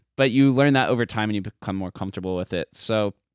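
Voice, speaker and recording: On a very clean recording with a silent background and a dry, close sound with no echo, a man with a General American accent speaks at a fairly low pitch with ordinary pitch variation. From Las Vegas, Nevada. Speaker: podcaster and crypto educator. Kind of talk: casual interview chat. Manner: fast.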